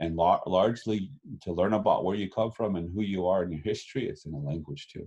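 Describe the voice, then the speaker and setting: At a very fast pace, a man talks in a very deep, low pitch with ordinary pitch variation. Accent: Lakota. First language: Lakota. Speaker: Lakota language educator. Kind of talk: interview. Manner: halting, many fillers and repeats.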